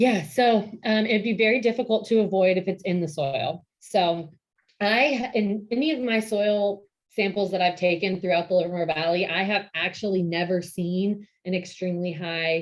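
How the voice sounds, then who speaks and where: In an American accent, a woman speaks at a moderate pace in a plain, everyday voice, with medium pitch and ordinary pitch variation. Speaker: vineyard operations director. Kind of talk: lecture.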